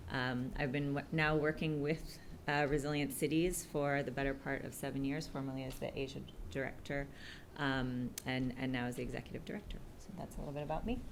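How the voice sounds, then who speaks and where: Speaking at a fairly quick pace, a woman with an American accent has a very deep, low pitch. Her intonation stays fairly even amid audible room echo. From United States. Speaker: executive director of a city resilience network. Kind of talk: panel discussion introduction. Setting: live event with audience. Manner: hesitant, many fillers.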